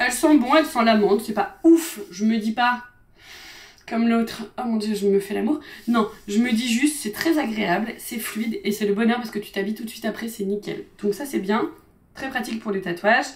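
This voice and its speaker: Her tone is animated, as this woman talks at a fairly high pitch with ordinary pitch variation. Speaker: beauty and lifestyle youtuber. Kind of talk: casual product review vlog. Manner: fast.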